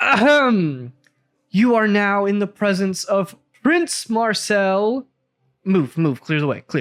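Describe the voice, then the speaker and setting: A loud, booming, put-on character voice at a fairly high pitch. The pace is fairly slow. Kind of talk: formal announcement.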